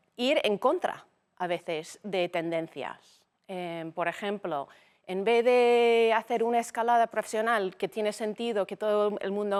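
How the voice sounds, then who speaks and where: A woman with an English accent speaks at a medium pitch with ordinary pitch variation, recorded dry and close with no echo. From United States. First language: English (speaking Spanish). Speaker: business executive. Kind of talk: interview conversation.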